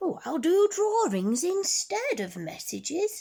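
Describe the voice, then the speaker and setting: Someone uses a put-on character voice at an extremely high pitch. The pace is fairly slow. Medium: read story. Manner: warm, friendly.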